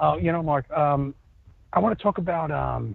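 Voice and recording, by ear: A man's fairly high-pitched voice with vocal fry, a moderate pace and ordinary pitch variation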